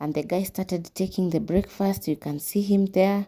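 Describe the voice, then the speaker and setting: On a very clean recording with a silent background, a woman speaks at a moderate pace in a dark, mellow tone, her pitch medium with ordinary variation. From Kenya. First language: Kiswahili. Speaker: vlogger. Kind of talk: voice-over narration of vlog.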